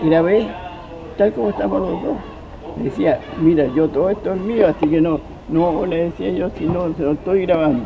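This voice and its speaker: With music in the background, a man speaks at a fairly slow pace in a Chilean accent, his intonation lively. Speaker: actor and journalist. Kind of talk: interview answer. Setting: outdoors.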